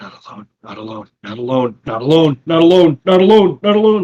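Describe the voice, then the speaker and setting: A man shouts in a loud, shrill, put-on character voice, pitched fairly high, swinging very widely in pitch at a fairly quick pace, with a dry, close sound and no echo. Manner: screeching, shouting, rising louder.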